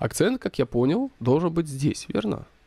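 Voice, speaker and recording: A man talks at a moderate pace in a dark, mellow tone. The recording is very clean, with a silent background and a dry, close sound with no echo. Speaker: photography teacher. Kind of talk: tutorial. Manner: casual, filler-heavy.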